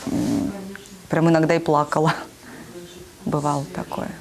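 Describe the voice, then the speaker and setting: A woman with a Russian accent, fairly low in pitch and fairly slow in pace, over noticeable background noise. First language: Russian (speaking Korean). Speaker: preschool teacher. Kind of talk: interview. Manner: halting.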